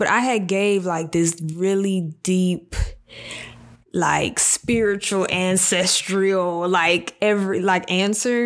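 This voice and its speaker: Here is a woman with a plain, everyday voice and ordinary pitch variation. The recording is very clean, with a silent background. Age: 20s. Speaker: solo podcast host. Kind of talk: casual monologue. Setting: home video and audio recording. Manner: conversational with fillers.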